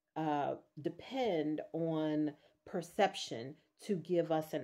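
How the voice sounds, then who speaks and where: Ordinary pitch variation in a woman's voice. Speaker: vlogger; teacher. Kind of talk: video journal monologue. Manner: slow.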